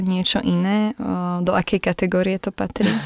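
At a moderate pace and medium pitch, a woman speaks with a dry, close sound and no echo. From western Slovakia, Nitra region. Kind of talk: interview. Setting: studio.

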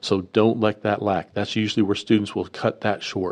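Here is a man with a plain, everyday voice and a fairly low pitch. He speaks at a fairly quick pace. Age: 50s. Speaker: university student affairs director. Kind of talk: interview.

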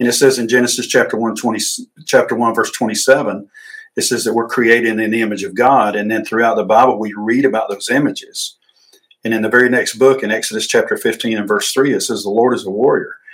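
This voice carries a Southern US accent. The words come out very quickly. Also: man. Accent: Southern US (Georgia). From US South, north Georgia. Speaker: ministry director and retired army veteran. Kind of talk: interview. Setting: studio at an outreach center.

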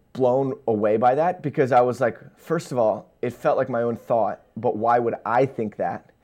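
An ordinary speaking voice from a man of medium pitch with an American accent, ordinary pitch variation and a moderate pace. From Pennsylvania, Lancaster. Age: 20s. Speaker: missionary and social media creator. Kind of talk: casual interview, faith testimony.

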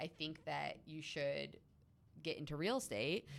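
Vocal fry at a moderate pace. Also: woman. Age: 30s. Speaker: real estate agent, podcast co-host. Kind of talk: casual chat.

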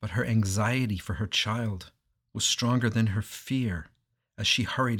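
Against a quiet background, the text is read aloud in a natural voice whose intonation holds fairly even.

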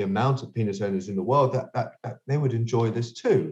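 Very fast and somewhat breathy, a man talks with a London accent. His tone is dark and mellow, with lively intonation. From London, England. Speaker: sex toy inventor and entrepreneur. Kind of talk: interview. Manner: halting, many repetitions.

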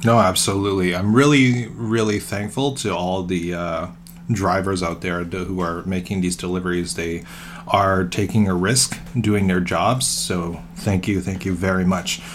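Music plays behind a man with a very deep, low pitch and ordinary pitch variation. He speaks at a fairly slow pace. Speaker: podcast co-host. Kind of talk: casual chat.

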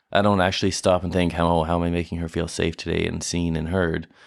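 On a very clean recording with a silent background, a man talks in a very deep, low register with monotone, flat intonation. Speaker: husband guest. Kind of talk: casual chat.

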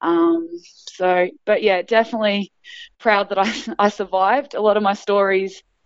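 A woman with an Australian accent speaks at a fairly slow pace with a medium pitch. Her loudness stays very even and her intonation fairly even. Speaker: basketball coach and former player. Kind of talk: interview.

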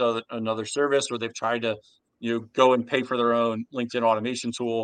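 With an American accent, a man talks at a fairly quick pace in a medium pitch, an unremarkable speaking voice. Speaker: sales outsourcing company founder. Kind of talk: interview.

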